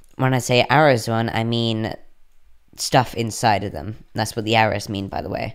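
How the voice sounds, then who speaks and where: Fairly low in pitch, a man with a plain, everyday voice speaks at a fairly quick pace with fairly even intonation. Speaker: coding tutorial youtuber. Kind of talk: tutorial. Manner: casual, with filler words.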